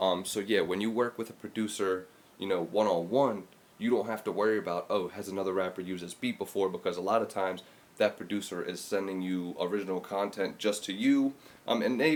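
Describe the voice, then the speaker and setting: A man with a fairly low voice speaks quietly and at a very fast pace. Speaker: podcast host and music producer. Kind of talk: casual solo podcast talk. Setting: at home, early morning. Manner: kept quiet, voice held down; casual, with many fillers.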